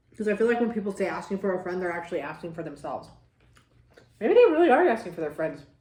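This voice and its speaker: With audible room echo, a woman of medium pitch talks at a very fast pace, her intonation lively and her loudness swinging widely. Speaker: mukbang vlogger. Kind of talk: casual chat while eating. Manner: animated.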